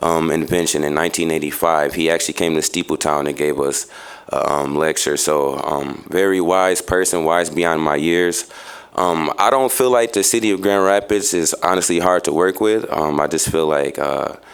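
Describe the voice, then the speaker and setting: Over noticeable background noise, a man with an American accent speaks in a very deep, low pitch. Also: ordinary pitch variation, moderate pace, very even loudness. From Chicago, US Midwest. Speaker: nonprofit youth worker giving public comment. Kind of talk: public comment at city meeting. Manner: halting, many fillers.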